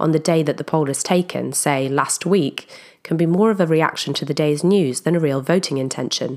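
A woman speaks in a very deep, low voice with ordinary pitch variation. Her pace is fairly quick. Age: 30s. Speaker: podcast host. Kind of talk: scripted narration.

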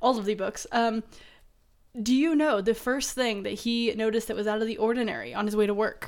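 A woman's plain, everyday voice, fairly high in pitch, with fairly even intonation and a fairly quick pace. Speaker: podcast co-host. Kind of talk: casual chat. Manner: joking, playful.

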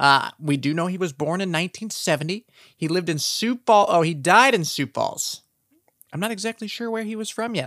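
The speaker has an Upper Midwest accent and an animated tone at a moderate pace. The recording is very clean, with a silent background. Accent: Upper Midwest American. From South Dakota. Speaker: true crime podcast host. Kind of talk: casual true crime narration.

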